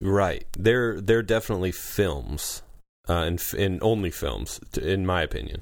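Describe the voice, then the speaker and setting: Very deep and low, a man's voice carries vocal fry at a moderate pace with ordinary pitch variation. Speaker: podcast host. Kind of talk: casual chat.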